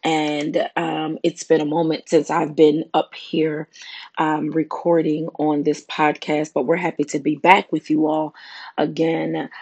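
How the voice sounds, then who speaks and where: A woman speaks with a very deep, low pitch and a monotone, flat intonation. The sound is dry and close with no echo, over a quiet background. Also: fairly slow pace. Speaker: prayer podcast host. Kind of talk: devotional talk. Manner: hesitant, many fillers.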